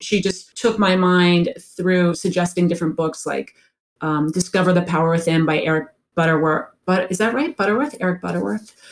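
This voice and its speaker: A woman speaks at a moderate pace in a plain, everyday voice with a fairly low pitch. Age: 50s. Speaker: executive and life coach. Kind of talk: radio interview.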